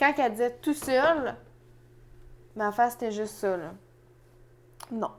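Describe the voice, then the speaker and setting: With a Quebec accent, a woman talks with lively intonation. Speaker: podcast co-host. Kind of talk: casual chat.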